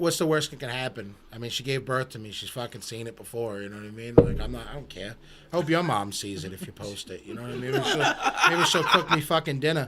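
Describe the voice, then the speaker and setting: A man's medium-pitched voice with an American accent, very fast and lively in intonation, with big swings in loudness over noticeable background noise. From Boston, Massachusetts. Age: 30s. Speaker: rapper. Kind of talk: casual chat. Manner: animated.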